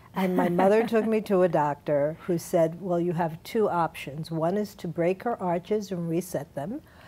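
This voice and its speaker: A woman with a plain, everyday voice, fairly low in pitch, with ordinary pitch variation and a moderate pace. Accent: American. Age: 60s. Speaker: dance academy founder, former dancer. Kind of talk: TV interview.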